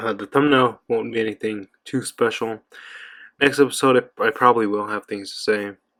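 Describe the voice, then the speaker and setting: The voice has a bright, sharp tone and moves at a moderate pace. The sound is dry and close with no echo, on a very clean recording with a silent background. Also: man, medium pitch for a man. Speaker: anime reviewer. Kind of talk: casual review monologue. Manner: monotone; subdued, not animated.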